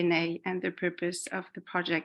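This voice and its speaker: Her medium-pitched voice holds a monotone, flat intonation as the woman talks at a moderate pace. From Colombia, Lebanon and France. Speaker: community builder and facilitator. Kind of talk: talk to an online group.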